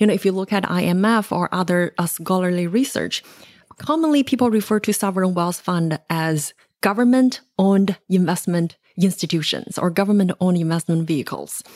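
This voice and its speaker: A woman speaks with a Chinese accent at a medium pitch and a fairly quick pace, with ordinary pitch variation. Her loudness stays very even, and the sound is dry and close with no echo. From China. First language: Mandarin Chinese. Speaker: economics researcher and author. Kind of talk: podcast interview.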